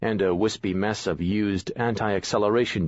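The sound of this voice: Reading done in an unforced voice.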